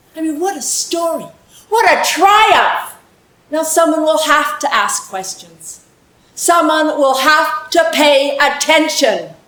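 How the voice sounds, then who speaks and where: A woman speaks at an extremely high pitch and a very slow pace, with lively intonation. There is audible room echo. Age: 70s. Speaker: storyteller. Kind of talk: personal storytelling on stage. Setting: stage with audience.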